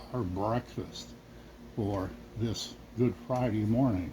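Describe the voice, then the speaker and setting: The speech moves at a fairly slow pace. There is noticeable background noise. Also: man. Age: 60s. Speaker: cooking channel host. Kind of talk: casual cooking vlog chat.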